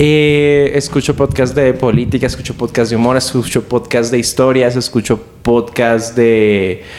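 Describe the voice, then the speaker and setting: Through noticeable background noise, a man speaks at a fairly slow pace and medium pitch, with very even loudness and hardly any pauses. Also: fairly even intonation. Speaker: stand-up comedian. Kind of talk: casual chat.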